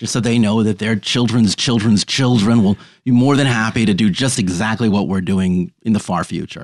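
A man with a plain, everyday voice and an American accent speaks at a moderate pace with hardly any pauses, his pitch fairly low with ordinary variation. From New York City, Manhattan. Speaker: storyteller. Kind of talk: casual interview chat.

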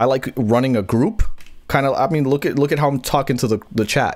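Speech comes at a very fast pace on a very clean recording with a silent background. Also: man. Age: 30s. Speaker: wrestling podcast host. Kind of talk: casual chat. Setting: live stream with chat. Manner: animated.

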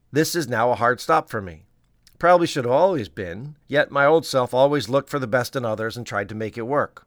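Heard dry and close with no echo on a very clean recording with a silent background, a man speaks in a normal speaking voice with a medium pitch and lively intonation. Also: fairly quick pace. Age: 50s. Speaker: pediatrician and podcast host. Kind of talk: scripted narration.

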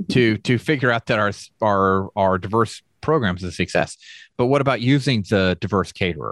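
A man with a normal speaking voice talks at a moderate pace and fairly low pitch, with ordinary pitch variation and very even loudness, in a very clean recording with a silent background and a dry, close sound with no echo. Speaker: podcast host. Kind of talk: casual interview conversation.

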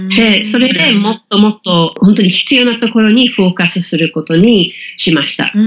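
Here a woman speaks at a medium pitch. Her pace is moderate. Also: ordinary pitch variation. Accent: English. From England. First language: English (speaking Japanese). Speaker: business communication coach. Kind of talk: interview. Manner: many filler words, hesitant.

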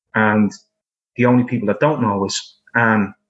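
In an Irish accent, a man speaks at a medium pitch with fairly even intonation. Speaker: film director.

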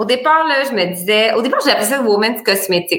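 With a Quebec accent, a woman speaks in a bright, sharp tone at a moderate pace. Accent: Québécois French. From Bas-Saint-Laurent, Quebec. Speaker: entrepreneur, boutique founder. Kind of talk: casual interview.

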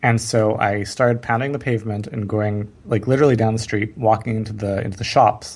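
A man with a fairly low, somewhat breathy voice talks at a fairly quick pace. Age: 30s. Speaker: marketing entrepreneur. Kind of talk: interview. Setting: podcast interview.

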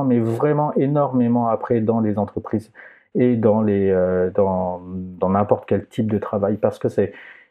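A man speaks at a very slow pace. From southern France, Aix-en-Provence. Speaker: astrophysicist and planetarium director. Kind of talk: interview conversation. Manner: halting, many repetitions.

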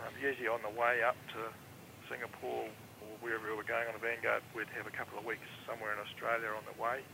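Against noticeable background noise, a man with a southern New Zealand accent talks at a very fast pace in a medium pitch with monotone, flat intonation. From New Zealand, Invercargill. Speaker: former air force avionics technician. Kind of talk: interview.

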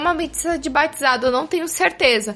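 With music playing in the background, a woman speaks with lively intonation. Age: 20s. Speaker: podcast panelist. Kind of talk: casual chat. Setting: studio.

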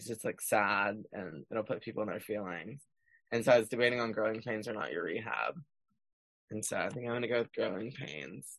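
Speaking with an American accent and vocal fry, a man talks fairly quickly at a fairly low pitch with ordinary pitch variation. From Texas. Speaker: country singer-songwriter. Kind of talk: casual interview chat. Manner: animated, chatty.

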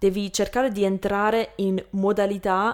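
A woman speaks at a medium pitch with monotone, flat intonation. The recording is very clean, with a silent background. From Canada, Lebanese family. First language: English (speaking Italian). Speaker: Italian learner, YouTuber. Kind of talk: interview. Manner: halting.

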